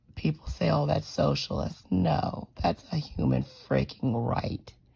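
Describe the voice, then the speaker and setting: Speech at a fairly slow pace comes through with noticeable background noise. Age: 40s. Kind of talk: personal testimony monologue. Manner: hesitant with fillers.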